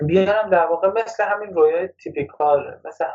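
A man is speaking. His pace is fairly quick. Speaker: workshop co-presenter. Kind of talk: lecture.

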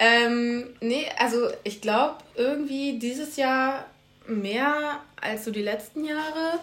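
A woman with a high pitch speaks at a very slow pace, with audible room echo and noticeable background noise. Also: ordinary pitch variation. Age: 20s. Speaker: student podcast co-host. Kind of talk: casual chat.

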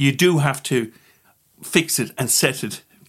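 A man with an Irish accent speaks at a medium pitch. The recording is very clean, with a silent background. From Ireland. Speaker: political advocate. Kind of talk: interview. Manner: animated.

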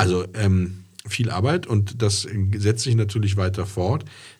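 A man speaks at a fairly low pitch, somewhat breathy, with fairly even intonation. Audible room echo surrounds his voice. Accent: slight Rhineland. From Rhineland, Germany (Andernach). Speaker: classic car podcast host. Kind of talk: casual chat. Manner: hesitant, many fillers.

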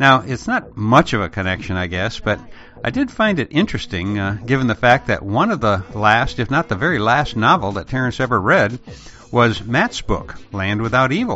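Using an ordinary speaking voice, a man with an American accent talks at a moderate pace. His pitch is medium, and his intonation is lively. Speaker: podcast host. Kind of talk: podcast monologue.

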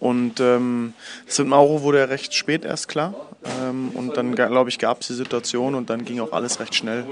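There is noticeable background noise as a man speaks. His pitch is medium and his pace moderate. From Berlin, Germany, partly abroad. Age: 30s. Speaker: basketball assistant coach. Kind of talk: interview. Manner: hesitant, many fillers.

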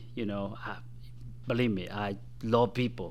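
Someone speaks at a moderate pace with a Spanish accent. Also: man. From Guatemala. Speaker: political candidate and former government staffer. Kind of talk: radio interview.

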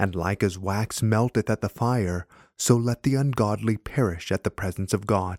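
A man with an ordinary speaking voice, fairly low in pitch, with ordinary pitch variation. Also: dry, close sound with no echo. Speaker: prayer leader reading liturgy. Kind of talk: fervent prayer, reverent liturgical reading of a confession and psalm. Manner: solemn, earnest and fervent; measured, formal, reverent.

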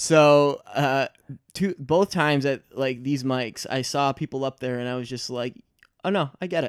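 An American accent marks a man's ordinary speaking voice, fairly high in pitch with ordinary pitch variation, at a moderate pace in a dry, close sound with no echo. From Michigan. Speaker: stand-up comedian. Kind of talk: casual chat. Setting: studio.

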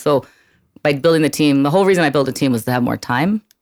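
In an American accent, a woman talks at a very fast pace. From Brooklyn, New York. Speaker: real estate broker. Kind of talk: casual interview. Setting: studio.

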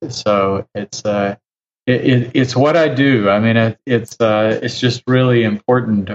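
A man with an ordinary speaking voice talks at a fairly slow pace, pitched fairly low. His intonation stays fairly even, and the sound is dry and close with no echo. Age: 60s. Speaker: physician and author. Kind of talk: interview.

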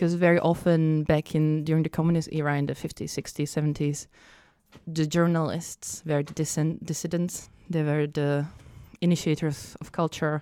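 In a Czech accent, a woman speaks with a very deep, low pitch and a dark, mellow tone, flat and monotone. The recording is very clean with a silent background. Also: moderate pace. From Czech Republic. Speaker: events and arts worker. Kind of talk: casual chat.

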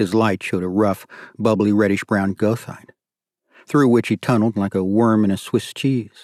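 In a dry, close sound with no echo and a very clean recording over a silent background, a man uses a plain, everyday voice, fairly low in pitch, with fairly even intonation at a moderate pace. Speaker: audiobook narrator. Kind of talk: dramatic audiobook narration of a thriller. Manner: tense, suspenseful, hushed and urgent.

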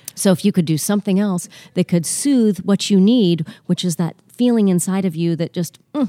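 A woman with a dark, mellow tone speaks at a medium pitch with ordinary pitch variation and hardly any pauses, in a dry, close sound with no echo. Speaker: hypnotherapist. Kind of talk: casual interview chat. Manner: fast talker.

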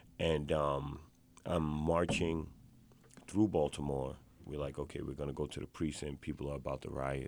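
A man speaks in a New York accent at a moderate pace, his pitch very deep and low. His intonation stays fairly even, with vocal fry throughout. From New York, South Bronx. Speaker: activist. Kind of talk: interview. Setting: studio.

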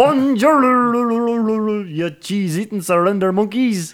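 Someone in a put-on character voice with a Scottish accent speaks at a fairly high pitch and a fairly slow pace on a very clean recording with a silent background. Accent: bad Scottish. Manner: parody, goofy, mocking.

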